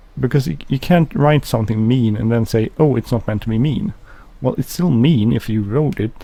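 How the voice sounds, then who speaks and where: The voice mumbles at a moderate pace with lively intonation. Its tone is dark and mellow and somewhat breathy. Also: man. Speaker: gaming video creator. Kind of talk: gameplay commentary. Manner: mumbling; halting.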